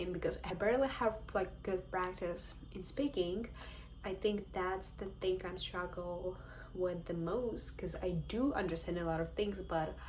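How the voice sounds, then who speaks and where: In a Ukrainian accent, a woman speaks at a fairly slow pace with a medium pitch and ordinary pitch variation. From Ukraine. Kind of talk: casual talk to camera.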